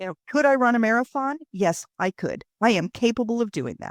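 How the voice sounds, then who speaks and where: With an American accent and a plain, everyday voice, a woman talks at a moderate pace in a dry, close sound with no echo. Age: 60s. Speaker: author. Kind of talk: interview.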